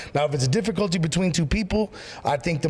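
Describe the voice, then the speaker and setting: Lively intonation marks this man's animated tone. Noticeable background noise runs behind him. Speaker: pastor. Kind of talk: casual chat. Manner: loud.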